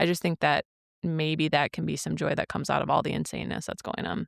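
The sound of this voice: Heard with a dry, close sound and no echo, a woman in a Minnesotan accent talks at a very fast pace.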